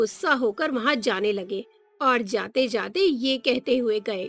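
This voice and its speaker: Over music in the background, a woman projects a raised, high-pitched voice with very wide pitch swings. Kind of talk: children's cartoon story narration.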